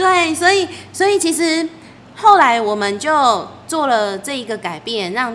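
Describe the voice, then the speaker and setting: A woman with very wide pitch swings, noticeable background noise and audible room echo. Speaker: wedding planner and podcast host. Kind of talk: casual chat. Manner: animated.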